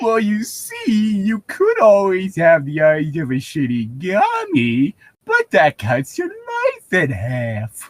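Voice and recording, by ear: This is a put-on character voice at a middle pitch, delivered at a fairly slow pace.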